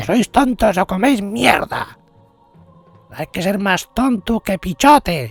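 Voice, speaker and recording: A put-on character voice, shouting at a fairly high pitch at a fairly slow pace with long, frequent pauses, over faint music in the background. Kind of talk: comedic parody dub. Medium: dub. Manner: angry, shouting.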